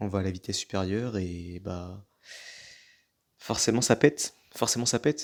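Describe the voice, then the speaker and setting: A man's fairly low voice with ordinary pitch variation and long, frequent pauses, on a very clean recording with a silent background. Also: moderate pace. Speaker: gaming YouTuber. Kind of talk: gameplay commentary.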